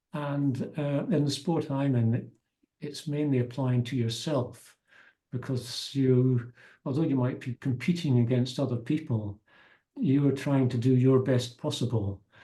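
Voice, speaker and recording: Medium-pitched male voice with a dark, mellow tone, somewhat breathy, fairly slow and fairly even in intonation. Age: 70s. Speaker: masters triathlete. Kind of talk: interview answer.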